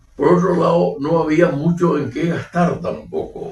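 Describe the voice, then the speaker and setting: Speaking at a fairly slow pace, a man with a Paraguayan accent sounds somewhat breathy. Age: 80s+. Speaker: retired professor and former regional TV figure. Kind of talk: interview.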